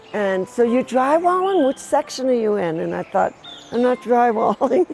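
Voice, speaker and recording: A woman talks while music plays in the background. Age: 70s. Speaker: sculptor. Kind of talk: interview.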